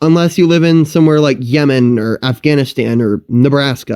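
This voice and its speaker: A man with an American accent talks at a fairly high pitch. His tone is dark and mellow. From US Midwest, rural Indiana. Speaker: storytime YouTuber. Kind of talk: casual storytime commentary.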